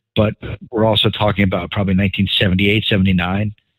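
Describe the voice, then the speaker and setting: A man with an American accent and a fairly low pitch. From New York City suburbs. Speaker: podcast host. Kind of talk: casual chat.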